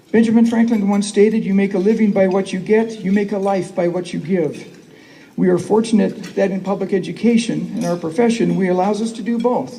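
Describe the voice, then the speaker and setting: Audible room echo surrounds a man who talks fairly quickly at a high pitch with fairly even intonation. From northwest Wisconsin. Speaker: school superintendent. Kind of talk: conference keynote speech. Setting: stage with audience.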